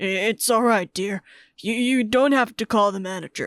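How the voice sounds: A cartoonish character voice moves along at a moderate pace. The recording is very clean and dry, close with no echo and a silent background. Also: woman.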